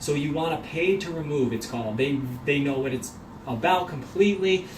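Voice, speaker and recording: A fairly high-pitched man with ordinary pitch variation, amid audible room echo and noticeable background noise. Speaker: mortgage professional. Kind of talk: video tutorial. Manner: fast.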